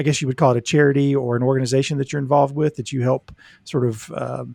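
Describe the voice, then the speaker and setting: A man speaks in a normal speaking voice at medium pitch and a fairly quick pace, with fairly even intonation and a dry, close sound with no echo on a very clean recording with a silent background. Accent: American. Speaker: podcast co-host, mental health professional. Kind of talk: casual chat.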